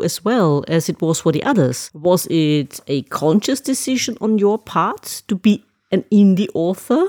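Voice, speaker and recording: A woman with a German accent talks at a moderate pace and medium pitch, with lively intonation and hardly any pauses. Her tone is dark and mellow, and the sound is dry and close with no echo. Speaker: podcast host. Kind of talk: interview.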